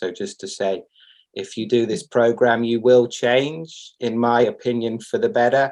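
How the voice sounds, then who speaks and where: A man talks at a moderate pace in an ordinary speaking voice. His pitch is medium, and the background is quiet. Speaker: program graduate and practitioner. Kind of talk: testimonial on video call.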